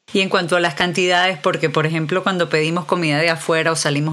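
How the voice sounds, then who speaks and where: The delivery is very fast. Intonation stays fairly even throughout. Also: woman. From Venezuela. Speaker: podcast host and novelist. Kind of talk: casual interview.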